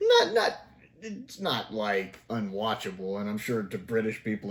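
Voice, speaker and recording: A man with a Southern US accent speaks at a fairly low pitch through noticeable background noise. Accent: Southern drawl. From US South. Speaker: TV review YouTuber. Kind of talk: casual review commentary. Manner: conversational, animated.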